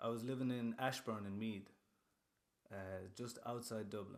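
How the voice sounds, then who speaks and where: A man speaks with a western Irish accent at a medium pitch. His pace is fairly quick. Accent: Irish (west of Ireland). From western Ireland (Castlerea, Roscommon). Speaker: rapper. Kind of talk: casual chat. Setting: studio. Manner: animated.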